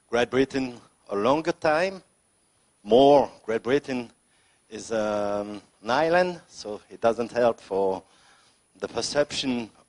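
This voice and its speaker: Very slow speech in a French accent, lively intonation, big swings in loudness and long, frequent pauses, dry and close with no echo. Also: man, medium pitch for a man. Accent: French accent, non-native English. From France, Lyon suburbs. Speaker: senator, politician. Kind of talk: unscripted speech at political debate. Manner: halting, with many fillers.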